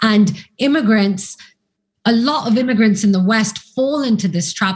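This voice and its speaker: A woman talks at a fairly high pitch with ordinary pitch variation. Her voice is somewhat breathy. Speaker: academic and commentator. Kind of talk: interview discussion. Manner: articulate.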